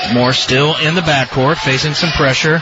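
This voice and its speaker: Noticeable background noise sits behind a man speaking at a moderate pace. His fairly high voice has ordinary pitch variation. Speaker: radio play-by-play announcer. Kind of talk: live play-by-play sports commentary. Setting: courtside at a high school gym, radio broadcast.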